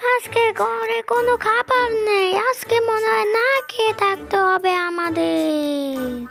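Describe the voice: A cartoonish, female-sounding character voice at an extremely high pitch, very slow, with very wide pitch swings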